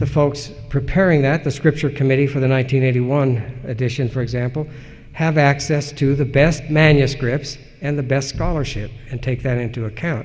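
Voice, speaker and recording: A man with a fairly high pitch, fairly even intonation and a somewhat breathy voice at a fairly quick pace, with audible room echo. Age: 60s. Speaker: historian and editor. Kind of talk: conference lecture Q&A. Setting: conference lecture.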